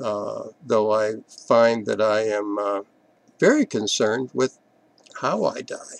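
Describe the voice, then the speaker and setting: Heard in a dry, close sound with no echo, a man with a medium pitch talks at a very slow pace with fairly even intonation. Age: 70s. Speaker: video blogger on atheism. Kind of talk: personal reflective monologue. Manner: halting, with frequent filler words.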